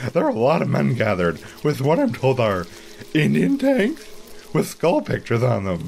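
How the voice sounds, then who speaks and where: Amid clear background noise, a man talks with very wide pitch swings. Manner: mild and naive, then obsessively repetitive.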